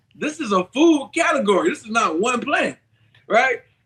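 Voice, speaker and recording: An unremarkable speaking voice with lively intonation. The pace is moderate. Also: man. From US South, Columbia, South Carolina. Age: 40s. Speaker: vegan health author and researcher. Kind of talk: interview.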